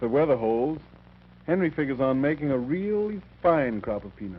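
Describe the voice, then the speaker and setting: A man with an American accent speaks at a fairly high pitch. His delivery is fairly quick, with very wide pitch swings. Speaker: film narrator. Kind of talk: documentary narration.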